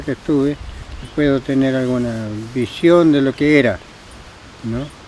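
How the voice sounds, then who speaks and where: Fairly slow delivery with fairly even intonation, noticeable background noise throughout. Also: man, medium pitch for a man. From Argentina, Patagonia (Nahuel Huapi area). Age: 80s+. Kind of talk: interview answer.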